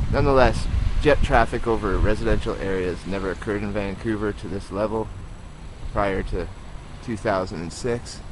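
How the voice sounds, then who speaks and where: A man with a fairly low pitch talks at a moderate pace with fairly even intonation. Long, frequent pauses break up his speech over noticeable background noise. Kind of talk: casual commentary filmed outdoors. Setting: outdoors.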